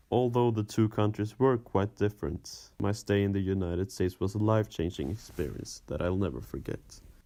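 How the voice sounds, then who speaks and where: With a Swedish accent, a man speaks fairly quickly at a fairly low pitch in a very clean recording with a silent background. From Sweden, Östersund. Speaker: former exchange student. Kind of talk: scripted narration.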